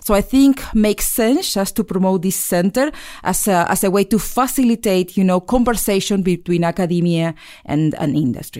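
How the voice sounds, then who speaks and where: A woman with an Argentine accent speaks at a medium pitch and a moderate pace, her intonation lively. Her loudness stays very even, and the recording is very clean with a silent background. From Argentina (Mar del Plata). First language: Spanish. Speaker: chemical engineering professor. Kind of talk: interview. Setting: studio. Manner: halting.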